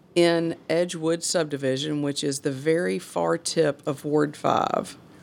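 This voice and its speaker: In a very clean recording with a silent background, a woman talks with a Mississippi accent. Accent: US Southern (Mississippi). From northern Mississippi, Hernando. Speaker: city alderwoman. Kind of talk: casual chat. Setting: hotel room.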